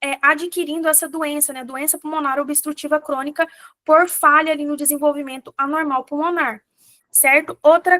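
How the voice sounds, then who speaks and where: Raised and projected, a woman's high, bright, sharp voice holds fairly even intonation in a dry, close recording with no echo. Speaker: physician teaching exam prep. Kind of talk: lecture.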